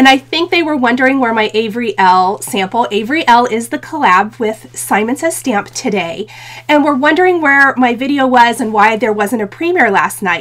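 A woman with a high voice talks at a fairly quick pace, with hardly any pauses. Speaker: craft channel host. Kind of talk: casual livestream chat. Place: home room.

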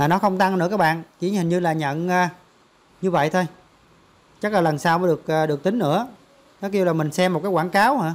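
Talking at a fast pace, a high-pitched man uses ordinary pitch variation.

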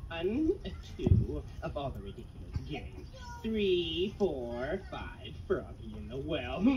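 A cartoonish character voice moves at a fairly slow pace. Background noise is clearly heard. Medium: puppet. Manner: formal, old-fashioned.

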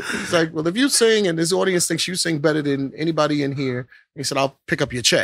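Fairly high-pitched, a man speaks with an American accent at a fairly quick pace. He has a plain, everyday voice with ordinary pitch variation. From Brooklyn, New York (Bedford-Stuyvesant). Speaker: singer. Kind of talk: casual chat.

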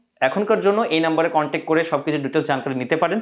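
A normal speaking voice from a man, fairly high in pitch, with ordinary pitch variation and a quiet background. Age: 20s. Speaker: YouTuber, magician turned mind coach. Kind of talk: video monologue to viewers.

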